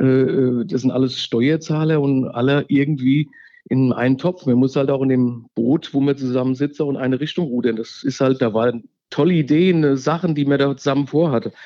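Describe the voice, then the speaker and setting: This man's voice sits fairly high in pitch, with fairly even intonation. He speaks at a moderate pace. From Hesse, Germany (Wallau near Hofheim am Taunus). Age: 50s. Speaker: local election candidate. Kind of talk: interview. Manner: halting, many fillers.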